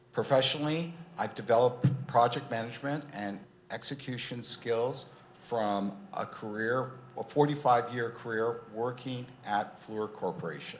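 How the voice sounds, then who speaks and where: A man speaks at a moderate pace with an American accent, at a medium pitch and with ordinary pitch variation. It is an unremarkable speaking voice. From Irvine, California. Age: 60s. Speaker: mayoral candidate. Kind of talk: candidate forum opening statement.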